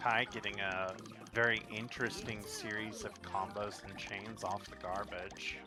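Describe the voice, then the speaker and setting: The voice is soft-spoken and fairly slow. Noticeable background noise runs underneath. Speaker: esports caster. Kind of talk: live commentary.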